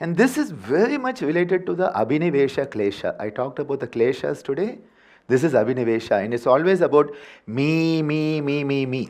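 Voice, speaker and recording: Over a quiet background, a man with a Tamil accent talks at a fairly quick pace in a fairly high voice, with lively intonation and an animated, playful tone. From India, Tamil Nadu. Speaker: yoga teacher. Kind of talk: workshop lecture. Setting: workshop with live audience. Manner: animated, playful vocal sounds.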